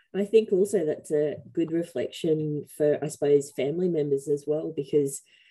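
This woman has a dark, mellow tone and an Australian accent, with ordinary pitch variation. She speaks at a moderate pace against a quiet background. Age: middle-aged. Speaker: webinar host, facilitator. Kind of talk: webinar panel moderation. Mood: warm, encouraging. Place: home room. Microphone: headset.

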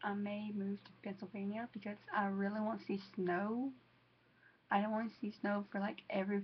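A woman with a Southern US accent, somewhat breathy, in a monotone, flat intonation. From US South, Georgia. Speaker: vlogger. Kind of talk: casual vlog to camera. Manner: halting, many fillers.

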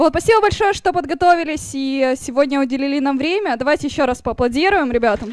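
A woman at a high pitch with lively intonation, a very fast pace, and hardly any pauses, in a dry sound with no echo. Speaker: meetup moderator. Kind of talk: event hosting. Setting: stage with audience. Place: hall. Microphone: handheld.

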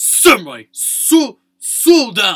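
This is a put-on character voice pitched high. It growls. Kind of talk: casual chat about game predictions. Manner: announcer voice.

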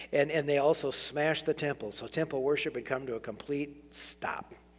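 A man speaking at a fairly quick pace with fairly even intonation. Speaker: preacher. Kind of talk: sermon. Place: church. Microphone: podium.

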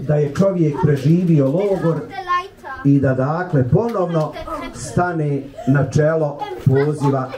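There is noticeable background noise as a man speaks with ordinary pitch variation. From Bosnia. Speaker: imam. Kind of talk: speech to a congregation. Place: church.

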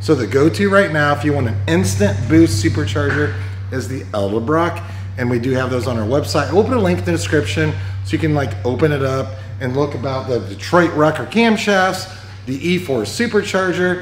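Faint music plays in the background as a man talks at a fairly quick pace, with audible room echo around him. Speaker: presenter. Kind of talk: casual shop video commentary. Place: workshop. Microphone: phone near.

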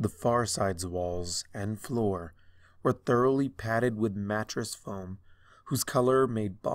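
An unforced reading voice is heard here. Its pitch moves with ordinary variation.

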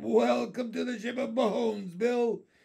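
A put-on character voice delivers lines at a fairly slow pace. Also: man, high pitch for a man. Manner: welcoming, eerie.

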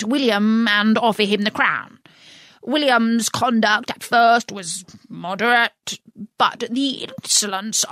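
Intonation stays fairly even as a natural voice reads aloud, with only a quiet background behind it.

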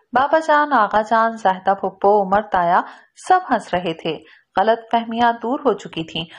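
Over a quiet background, a woman with a normal speaking voice talks at a fairly high pitch with lively intonation. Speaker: audiobook narrator. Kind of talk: audio novel narration. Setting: studio voice-over recording. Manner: expressive storytelling, shifting tone between narration and character dialogue.

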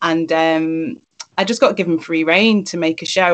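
Against a quiet background, a woman speaks in a fairly low voice with fairly even intonation. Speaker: poet and performer; poet. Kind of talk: reading aloud. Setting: video call. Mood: reflective, personal. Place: home room. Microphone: video call.

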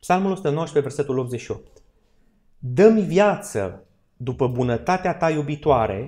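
A man's fairly high, somewhat breathy voice at a very slow pace, with lively intonation over a quiet background. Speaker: church Bible study teacher. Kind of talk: Bible study lecture in church. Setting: church hall with live audience. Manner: interactive, asks audience questions. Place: hall. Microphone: podium.

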